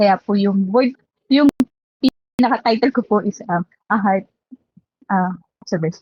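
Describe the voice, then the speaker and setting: A woman's fairly high, somewhat breathy and shaky voice at a fairly slow pace, with ordinary pitch variation and a dry, close sound with no echo. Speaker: lay preacher. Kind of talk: sermon. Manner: halting.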